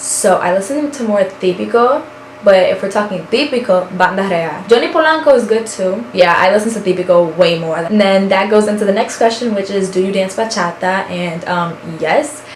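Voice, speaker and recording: Against noticeable background noise and audible room echo, a woman talks at a moderate pace with lively intonation. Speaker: beauty and lifestyle vlogger. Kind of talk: casual vlog chat. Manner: loud; animated.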